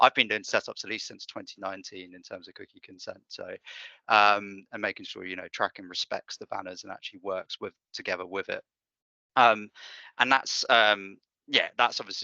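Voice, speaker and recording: A man with a British accent, a fairly low pitch and a bright, sharp tone, fairly even intonation at a moderate pace, over a quiet background with a dry, close sound and no echo. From UK. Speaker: data analytics consultant. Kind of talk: tutorial. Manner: hesitant, many fillers.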